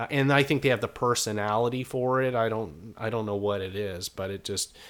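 Ordinary pitch variation from a man with an unremarkable speaking voice. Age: 30s. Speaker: comedian. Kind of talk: interview.

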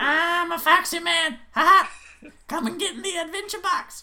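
This is a put-on character voice pitched extremely high. It moves at a moderate pace. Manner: playful, silly, exaggerated.

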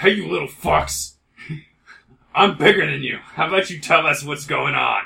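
A man uses a raspy, put-on character voice at a fairly high pitch. He moves at a moderate pace, with big swings in loudness and long, frequent pauses. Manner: commanding, aggressive.

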